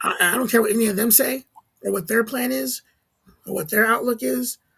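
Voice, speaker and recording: Speaking at a very fast pace, a man uses a high-pitched voice. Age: 40s. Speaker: comedian. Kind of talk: casual chat.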